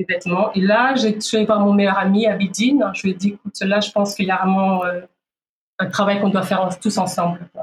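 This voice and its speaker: A woman with a medium pitch talks at a fairly quick pace in a monotone, flat intonation. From DR Congo, Kinshasa. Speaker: fashion event founder. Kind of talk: interview. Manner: halting.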